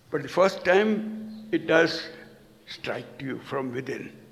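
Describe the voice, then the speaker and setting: Over noticeable background noise and audible room echo, a man with a high pitch speaks at a very slow pace. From India. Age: 80s+. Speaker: storyteller. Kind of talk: lecture.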